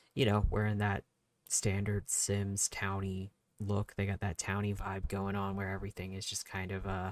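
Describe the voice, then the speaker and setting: In a dry, close sound with no echo, a man speaks at a moderate pace in a fairly low, monotone voice with flat intonation. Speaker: gaming YouTuber. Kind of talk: casual voice-over commentary.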